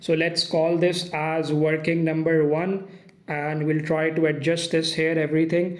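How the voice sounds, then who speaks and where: A man with a fairly high pitch speaks at a fairly slow pace in a monotone, flat intonation and very even loudness. Noticeable background noise and audible room echo surround him. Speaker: accounting teacher. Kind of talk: tutorial.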